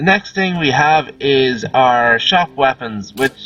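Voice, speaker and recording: Over music in the background, a man with an Irish accent speaks in a fairly high pitch with lively intonation. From Ireland. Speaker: gaming video creator. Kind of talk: game tutorial commentary. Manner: casual, rambling with hesitations.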